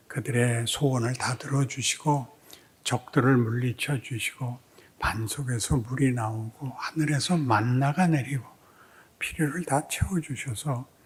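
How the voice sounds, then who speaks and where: At a fairly slow pace, a man talks with a somewhat breathy, medium-pitched voice and ordinary pitch variation. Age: old. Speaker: pastor. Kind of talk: sermon. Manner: slurred articulation with hesitations.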